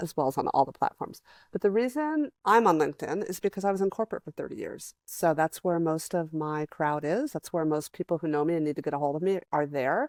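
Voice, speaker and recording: A woman with an unremarkable speaking voice, fairly low pitch and ordinary pitch variation, at a fairly quick pace with hardly any pauses, the sound dry and close with no echo on a very clean recording with a silent background. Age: 60s. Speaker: creative coach. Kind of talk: casual chat.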